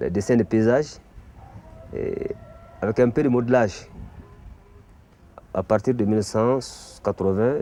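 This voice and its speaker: Medium in pitch, a man talks at a fairly slow pace. His intonation stays fairly even, broken by long, frequent pauses. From Mali. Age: 50s. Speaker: art teacher and bogolan artist. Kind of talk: explanatory talk.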